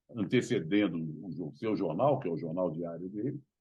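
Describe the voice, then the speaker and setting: The speaker talks at a moderate pace. Vocal fry runs through the voice. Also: man. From Rio de Janeiro, Brazil (Tijuca). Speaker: journalist. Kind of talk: interview.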